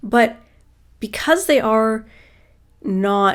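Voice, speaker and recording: Heard on a very clean recording with a silent background, the speech has ordinary pitch variation. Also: woman. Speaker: beauty youtuber. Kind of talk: casual chat. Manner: rambling conversational.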